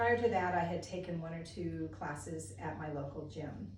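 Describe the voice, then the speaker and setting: With audible room echo and noticeable background noise, a woman speaks at a fairly slow pace and a fairly low pitch. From US (military family, moved around). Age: 60s. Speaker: yoga teacher trainee. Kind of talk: self-introduction monologue. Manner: casual with frequent fillers.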